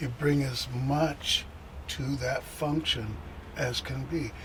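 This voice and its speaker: Over noticeable background noise, the speech goes at a very slow pace. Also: man. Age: 70s. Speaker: bass player. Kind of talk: interview. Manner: halting.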